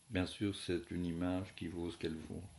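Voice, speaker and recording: A man speaks softly. His tone is dark and mellow. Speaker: philosophy teacher. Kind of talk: lecture. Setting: at home. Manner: soft-spoken.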